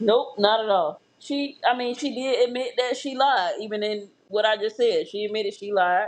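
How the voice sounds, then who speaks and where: A woman with an American accent has a plain, everyday voice. She speaks at a moderate pace and fairly high pitch with ordinary pitch variation. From Florida. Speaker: true crime podcast host. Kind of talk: true crime podcast narration with casual chat.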